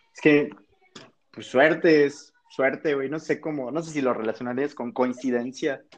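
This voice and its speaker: A man talks in a plain, everyday voice at a fairly high pitch. His pace is moderate and his intonation fairly even. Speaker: university student. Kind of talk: casual chat.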